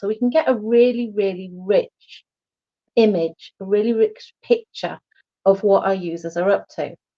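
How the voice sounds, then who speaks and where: A woman in a normal speaking voice with fairly even intonation at a moderate pace. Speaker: IT security panelist. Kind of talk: short pitch presentation.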